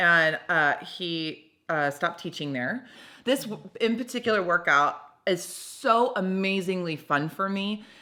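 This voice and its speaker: A loud woman at a medium pitch, animated, with a bright, sharp tone, lively intonation and a fairly slow pace, in a very clean recording against a silent background. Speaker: podcast host. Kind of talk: casual chat.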